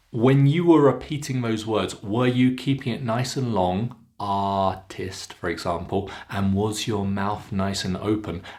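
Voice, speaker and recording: A man with a British RP accent speaks at a very slow pace and a fairly low pitch with ordinary pitch variation, on a very clean recording with a silent background. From England. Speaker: accent coach. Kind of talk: pronunciation lesson to camera. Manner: clear, slow, instructive.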